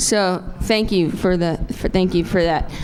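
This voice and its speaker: A woman with an American accent and an unremarkable speaking voice, at a moderate pace. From New Jersey. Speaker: stand-up comedian. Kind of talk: stand-up.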